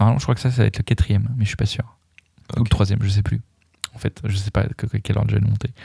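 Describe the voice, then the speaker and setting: This man speaks at a very fast pace with a fairly low pitch and fairly even intonation. His speech has long, frequent pauses. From France, Dijon. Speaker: podcast host and vegan cook. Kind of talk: casual chat. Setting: studio.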